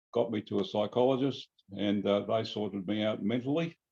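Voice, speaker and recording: A man's fairly low voice in an Australian accent, at a moderate pace with ordinary pitch variation. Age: 70s. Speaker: radio sailing club member. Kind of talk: interview. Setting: video call.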